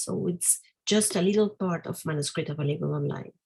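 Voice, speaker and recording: A woman with a non-native accent, vocal fry and ordinary pitch variation. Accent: non-native English speaker. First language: Spanish. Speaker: academic presenter. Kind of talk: academic Q&A. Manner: halting, many fillers.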